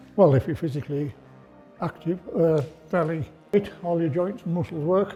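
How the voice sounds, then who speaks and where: With music playing behind him, a man talks at a moderate pace in a high pitch, using ordinary pitch variation. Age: 70s. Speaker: roller skating instructor. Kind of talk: tutorial. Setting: skating studio.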